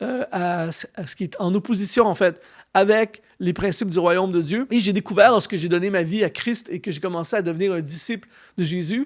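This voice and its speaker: The voice has a Canadian French accent on a very clean recording with a silent background. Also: man. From Canada. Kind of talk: sermon-style teaching.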